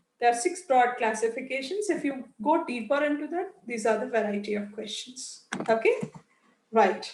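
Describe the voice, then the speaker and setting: Audible room echo surrounds the voice. The intonation is lively. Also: woman, high pitch for a woman. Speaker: IELTS teacher. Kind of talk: online class lecture. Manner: deliberate, careful pronunciation for clarity.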